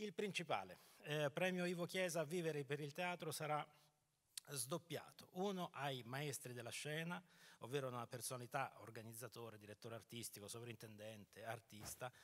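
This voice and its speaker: A man with a fairly high voice speaks at a moderate pace, his intonation lively. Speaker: dramaturg. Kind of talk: press conference presentation. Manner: hesitant, repeating words. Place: stage. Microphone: handheld.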